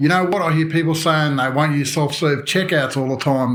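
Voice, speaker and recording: A man with an Australian accent, fairly high pitch and fairly even intonation, amid noticeable background noise. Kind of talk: motorcycle news commentary to camera. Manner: casual, joking.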